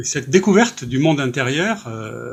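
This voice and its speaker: A somewhat breathy man's voice, fairly high in pitch, with lively intonation at a moderate pace. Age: 60s. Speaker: author. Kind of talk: interview.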